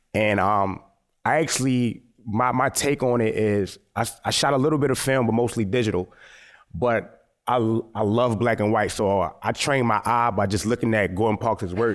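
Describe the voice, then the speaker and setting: An ordinary speaking voice from a man with an American accent, medium pitch, fairly even intonation, very even loudness and a moderate pace on a very clean recording with a silent background. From US, Baltimore, Maryland. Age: 30s. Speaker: photographer. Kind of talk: lecture.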